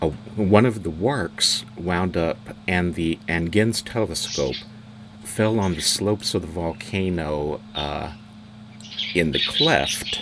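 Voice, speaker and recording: A man speaks in a very deep, low voice, with ordinary pitch variation. He talks very slowly over noticeable background noise. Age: 60s. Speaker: tour guide. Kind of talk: guided tour. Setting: live stream. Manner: halting.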